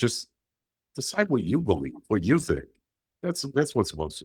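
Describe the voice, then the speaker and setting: A man speaks at medium pitch and a moderate pace, with vocal fry. His pitch swings very wide and his loudness changes a lot. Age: 60s. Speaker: author and paranormal investigator. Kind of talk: interview. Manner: animated, repetitive false starts.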